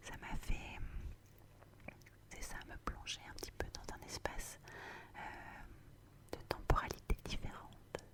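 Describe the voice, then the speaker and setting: A woman whispers at a very slow pace, with long, frequent pauses and big swings in loudness. Noticeable background noise runs underneath. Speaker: ASMR creator. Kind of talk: ASMR bedtime talk. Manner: whispered; repetitive, soft, slow.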